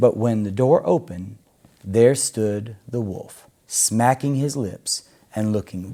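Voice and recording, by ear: Reading aloud in a natural voice, pitch rising and falling in an ordinary way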